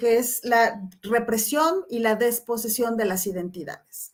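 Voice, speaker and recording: A woman's high-pitched voice at a very slow pace. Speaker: professor. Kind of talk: lecture.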